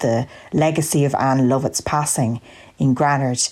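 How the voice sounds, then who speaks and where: With an Irish Midlands accent and a dark, mellow tone, this voice moves at a moderate pace in a very clean recording with a silent background. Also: woman. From Ireland, County Longford. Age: 20s. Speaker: listener contributor. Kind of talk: prepared monologue.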